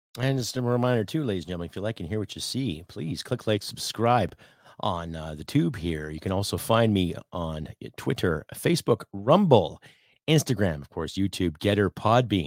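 A man with a Canadian accent and a fairly low pitch speaks at a moderate pace with lively intonation and big swings in loudness, in a very clean recording with a silent background and a dry, close sound with no echo. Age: 40s. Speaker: podcast host and army veteran. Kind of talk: opinion rant podcast. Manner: animated.

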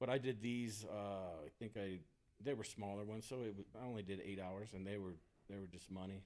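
Here is a man with an American accent and a normal speaking voice. He moves at a fairly quick pace with fairly even intonation. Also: fairly low pitch for a man. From Texas. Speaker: golf course superintendent. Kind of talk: casual chat. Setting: rental house at a seminar.

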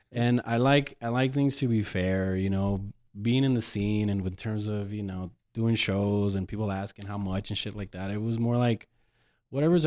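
A man with an American accent uses a plain, everyday voice, fairly low in pitch with ordinary variation, at a moderate pace on a very clean recording with a silent background. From El Paso, Texas. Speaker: DJ. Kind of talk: casual chat.

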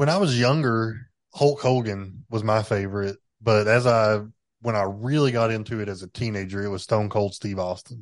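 Speaking with a Southern accent, a man talks at a moderate pace and fairly low pitch with ordinary pitch variation. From Tennessee. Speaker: podcast host. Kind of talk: casual chat.

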